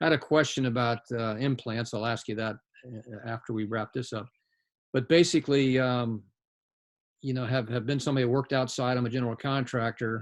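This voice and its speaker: Fairly even intonation in a man's plain, everyday voice of medium pitch. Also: fairly quick pace. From US South. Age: 60s. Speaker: general contractor. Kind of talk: casual chat.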